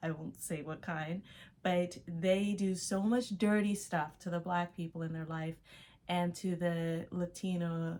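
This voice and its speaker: A woman's fairly low voice with an American accent. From Los Angeles, US. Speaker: artist and vlogger. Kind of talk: casual vlog monologue.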